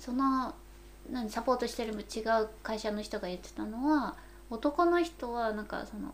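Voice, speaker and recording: A woman speaks at a fairly high pitch with ordinary pitch variation. Background noise is noticeable. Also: moderate pace, big swings in loudness. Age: middle-aged. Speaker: podcast co-host, company employee in oral care. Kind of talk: casual chat.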